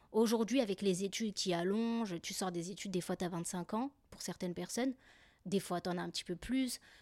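A woman speaks at a medium pitch with ordinary pitch variation. The recording is very clean, with a silent background and a dry, close sound with no echo. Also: fairly quick pace. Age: 30s. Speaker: podcaster. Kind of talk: casual monologue. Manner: animated.

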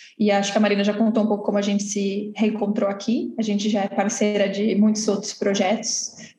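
Over noticeable background noise, a woman of medium pitch speaks at a fairly quick pace in a flat monotone, with very even loudness and hardly any pauses. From Santos, São Paulo coast, Brazil. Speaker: cultural venue co-founder. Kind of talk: interview.

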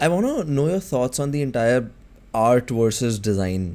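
Speaking at a moderate pace and medium pitch, a man uses lively intonation in a dark, mellow tone. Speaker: podcast host. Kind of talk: casual interview.

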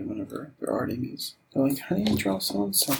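A man speaks in a relaxed tone. Noticeable background noise runs under his voice. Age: 40s. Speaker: podcast host and artist. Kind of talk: casual chat while drawing. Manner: relaxed, meandering.

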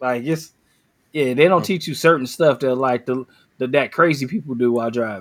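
In an unremarkable speaking voice, a man with an American accent talks at medium pitch and a fairly quick pace, with ordinary pitch variation. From Cleveland, Ohio. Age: 40s. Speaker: podcast co-host. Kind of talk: casual chat.

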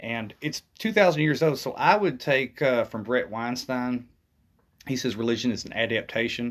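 On a very clean recording with a silent background, a man has an ordinary speaking voice, moderate pace, medium pitch, and ordinary pitch variation. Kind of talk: casual interview conversation.

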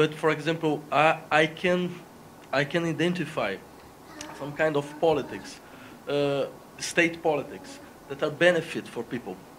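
A man at a fairly high pitch with a Portuguese accent, ordinary pitch variation, long, frequent pauses and noticeable background noise. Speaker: philosophy professor. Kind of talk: debate. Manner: slow; halting.

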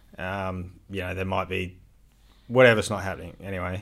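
With an Australian accent and fairly even intonation, a man is heard on a very clean recording with a silent background. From Adelaide, South Australia. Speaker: landscaping business owner. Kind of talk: casual chat.

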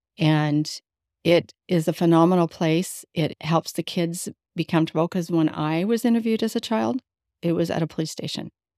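In a very clean recording with a silent background and a dry, close sound with no echo, a woman with an American accent speaks at a moderate pace in a fairly low pitch, with a dark, mellow tone and ordinary pitch variation. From Las Vegas, Nevada. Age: 60s. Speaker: foster care survivor and youth advocate. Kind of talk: interview storytelling. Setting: in person with host.

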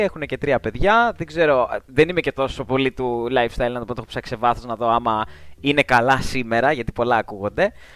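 Here is a man in a plain, everyday voice, medium in pitch with ordinary variation. He speaks at a moderate pace, with dry, close sound and no echo. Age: 20s. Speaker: magazine writer. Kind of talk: casual chat.

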